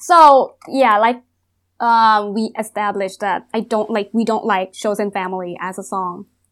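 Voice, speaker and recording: A woman with a Thai accent speaks at a fairly slow pace, her fairly high pitch showing ordinary variation. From Thailand. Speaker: psychologist guest. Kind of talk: casual chat.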